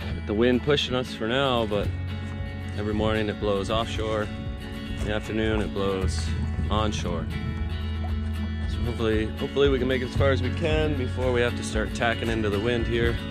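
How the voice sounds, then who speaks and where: Clear music plays behind a man who talks at a fairly quick pace, the sound dry with no echo. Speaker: sailing vlogger. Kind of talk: casual vlog chat. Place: boat. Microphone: phone near.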